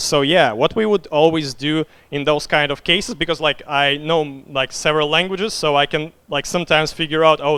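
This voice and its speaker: A man speaks with a Russian accent, his pitch fairly high. He talks at a fairly quick pace. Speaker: game designer. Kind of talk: conference talk Q&A. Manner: hesitant, many fillers.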